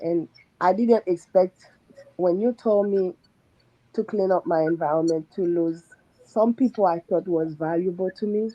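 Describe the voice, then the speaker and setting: A woman with a non-native accent speaks with fairly even intonation. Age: 40s. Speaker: surgical nurse / coaching client. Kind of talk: testimony.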